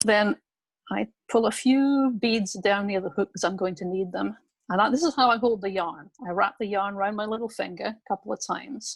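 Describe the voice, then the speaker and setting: Recorded very cleanly against a silent background, a woman speaks at a moderate pace and medium pitch, somewhat breathy, with ordinary pitch variation and big swings in loudness. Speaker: craft instructor. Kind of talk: tutorial.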